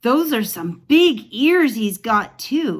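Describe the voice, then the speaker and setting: A woman uses a put-on character voice, talking at a very slow pace. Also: fairly high pitch for a woman. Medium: read story. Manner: gossipy, teasing.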